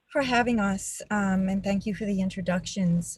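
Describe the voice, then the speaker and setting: A woman speaks with a New York accent at a moderate pace. Her voice is somewhat breathy, with fairly even intonation. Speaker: nurse and advocacy co-founder. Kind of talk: testimony. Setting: webinar video call.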